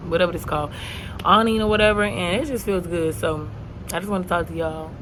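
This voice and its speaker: With an animated tone, a woman speaks at a very fast pace yet leaves long, frequent pauses, amid noticeable background noise and audible room echo. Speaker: vlogger. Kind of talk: casual vlog monologue. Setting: outdoors.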